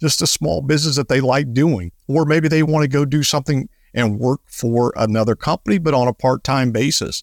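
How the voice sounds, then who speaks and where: With an ordinary speaking voice, a man with a fairly high pitch and ordinary pitch variation talks at a fairly quick pace and very even loudness, recorded very clean with a silent background and a dry, close sound with no echo. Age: 50s. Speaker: financial advisor and radio show host. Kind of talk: casual chat.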